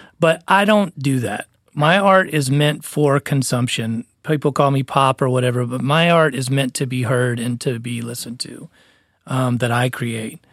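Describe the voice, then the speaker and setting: At a moderate pace, a plain, everyday voice comes through on a very clean recording with a silent background. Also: man, medium pitch for a man, ordinary pitch variation, dry, close sound with no echo. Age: 40s. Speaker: musician and podcast co-host. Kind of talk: casual chat.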